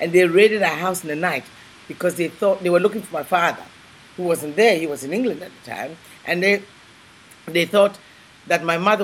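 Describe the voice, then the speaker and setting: A woman speaks at a fairly low pitch, with long, frequent pauses and big swings in loudness. Noticeable background noise runs underneath. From Ghana. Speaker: civil celebrant, chef and author. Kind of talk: interview, personal storytelling.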